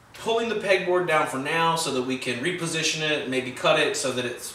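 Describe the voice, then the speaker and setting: A man speaks at a moderate pace with ordinary pitch variation. Light background noise and audible room echo are present. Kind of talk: tutorial. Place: workshop.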